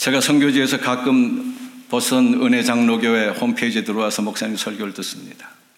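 A man at medium pitch with a fairly quick pace and monotone, flat intonation, amid noticeable background noise and audible room echo. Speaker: retired pastor and missionary. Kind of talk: sermon. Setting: church.

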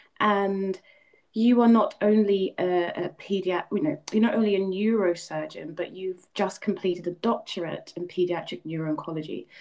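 Speaking at a moderate pace, a woman uses a normal speaking voice with medium pitch and ordinary pitch variation. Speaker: podcast host. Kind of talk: interview.

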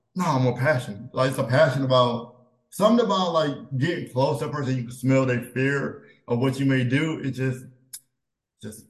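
Somewhat breathy, a man talks at medium pitch and a fairly quick pace with ordinary pitch variation. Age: 30s. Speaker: podcast co-host. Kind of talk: casual chat.

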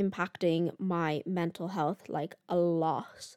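In a Dublin accent, a woman speaks at a fairly slow pace and a fairly low pitch, captured in a very clean, silent recording with a dry, close sound and no echo. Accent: Irish (Dublin). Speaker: podcast host, college student. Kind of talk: casual solo chat. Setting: home recording with microphone. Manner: animated.

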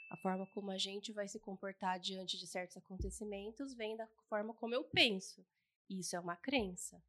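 With fairly even intonation, a woman speaks at a moderate pace in a bright, sharp tone. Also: medium pitch for a woman. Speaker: podcast co-host and family constellation coach. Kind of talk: casual chat.

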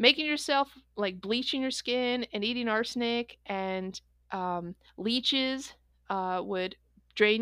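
With an American accent and an unremarkable speaking voice, a woman speaks at a fairly high pitch with ordinary pitch variation on a very clean recording over a silent background. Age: 40s. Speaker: podcast co-host. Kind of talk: casual chat.

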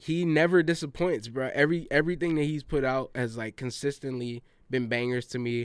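This man has an unremarkable speaking voice with an American accent, pitched fairly high, with ordinary pitch variation. He moves at a fairly quick pace. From US South. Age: 20s. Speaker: podcast host. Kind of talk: casual chat.

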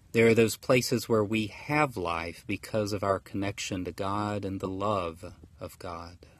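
A man with an American accent and a fairly low pitch speaks fairly slowly, with hardly any pauses, ordinary pitch variation and a quiet background. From US South, rural Georgia. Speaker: pastor. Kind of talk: sermon.

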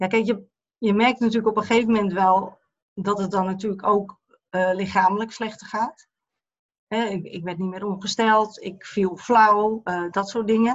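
With monotone, flat intonation, a woman talks at a medium pitch and moderate pace. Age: 50s. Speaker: eating disorder therapist. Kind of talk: personal testimony interview.

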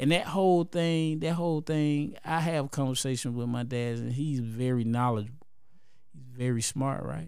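In an American accent, a man speaks at medium pitch and a moderate pace with ordinary pitch variation, and audible room echo surrounds his voice. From Columbus, Georgia. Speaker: rapper. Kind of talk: casual chat.

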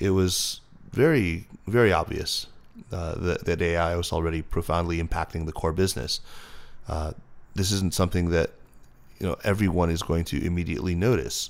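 With an American accent, a man with a very deep, low pitch and ordinary pitch variation talks at a fairly quick pace. He takes long, frequent pauses, and the recording is very clean with a silent background. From United States. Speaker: former tech company communications director and podcaster. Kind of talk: interview conversation.

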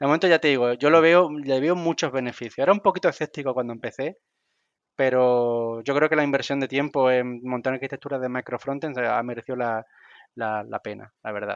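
Against a quiet background, a man talks at a fairly quick pace and medium pitch with ordinary pitch variation, the sound dry and close with no echo. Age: 40s. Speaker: software developer. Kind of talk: casual chat. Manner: halting, repeats words.

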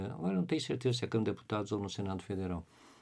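The voice has a dark, mellow tone with vocal fry and lively intonation. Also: man. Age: 50s. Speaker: biology professor. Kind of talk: interview. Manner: halting.

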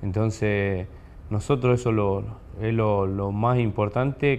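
This man's voice sits fairly low, with fairly even intonation. He talks at a very slow pace. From Argentina, southern Córdoba province (small town). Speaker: professional footballer. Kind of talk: interview. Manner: halting, many repetitions.

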